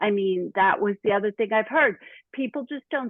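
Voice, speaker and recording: A voice in a Brooklyn accent with very wide pitch swings. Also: woman. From Brooklyn, New York. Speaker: fiction author. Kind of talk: interview. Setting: podcast.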